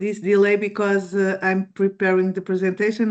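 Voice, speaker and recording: The speaker keeps a moderate pace with monotone, flat intonation. The background is quiet. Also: woman. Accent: non-native. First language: Portuguese. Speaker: policy advisor. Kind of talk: presentation. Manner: halting.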